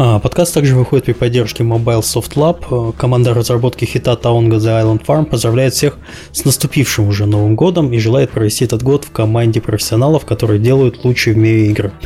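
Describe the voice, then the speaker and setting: A man's very fast speech at medium pitch, with ordinary pitch variation, very even loudness, and noticeable background noise. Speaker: podcast host. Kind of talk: casual chat.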